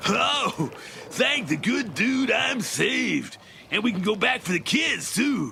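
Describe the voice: Shouting in a cartoonish character voice at an extremely high pitch, a man speaks at a fairly slow pace over clear background noise.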